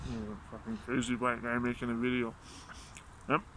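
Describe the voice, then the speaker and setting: A man at a moderate pace, dry with no echo, over noticeable background noise. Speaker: vlogger doing pepper challenge. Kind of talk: casual vlog chat. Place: garden. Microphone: phone near.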